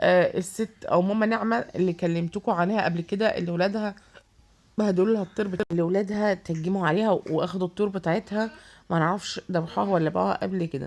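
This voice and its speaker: Using a medium pitch with ordinary variation, a woman talks at a fairly quick pace. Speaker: vlogger. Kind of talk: casual vlog. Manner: hesitant, many fillers.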